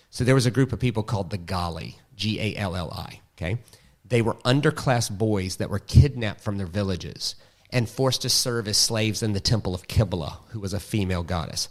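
The speaker has a Southern US accent. The pitch varies in an ordinary way. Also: man, fairly low pitch for a man, fairly quick pace. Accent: Southern American. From US South. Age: 40s. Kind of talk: casual interview.

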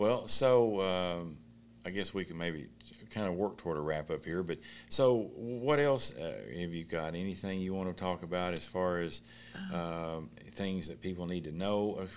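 With a Kentucky accent, a man speaks at a moderate pace in a very deep, low pitch with ordinary pitch variation. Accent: Southern US (Kentucky). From Eastern Kentucky. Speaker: local interview host. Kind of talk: casual interview.

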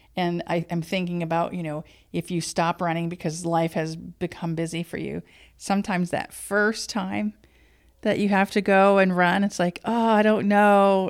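In a very clean recording with a silent background, a woman with an ordinary speaking voice talks at a fairly low pitch and moderate pace, her intonation fairly even. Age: 50s. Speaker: podcast host. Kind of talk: casual interview conversation.

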